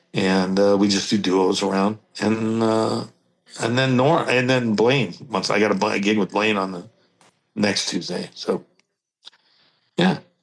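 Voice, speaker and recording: With long, frequent pauses, a man talks at a fairly slow pace in a fairly low voice with ordinary pitch variation. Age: 60s. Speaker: steel guitarist. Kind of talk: casual interview chat. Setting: podcast interview. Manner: halting, many fillers.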